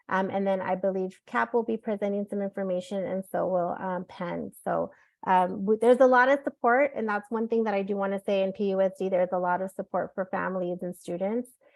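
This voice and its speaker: A woman at medium pitch, fairly quick with hardly any pauses and ordinary pitch variation. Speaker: school counselor. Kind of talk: presentation workshop. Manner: fast.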